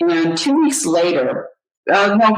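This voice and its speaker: A woman talks at a very slow pace, with vocal fry and very wide pitch swings. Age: 60s. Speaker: happiness coach. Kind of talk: interview. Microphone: poor audio quality.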